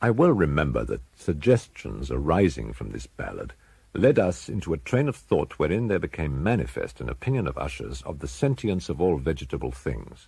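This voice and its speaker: Hardly pausing, a man talks in a very deep, low voice with a dark, mellow tone and vocal fry. His pitch swings very widely. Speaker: audiobook narrator. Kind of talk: dramatic narration of a Gothic horror story, read aloud in a slow, brooding, ominous tone. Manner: dark, suspenseful delivery that builds dread.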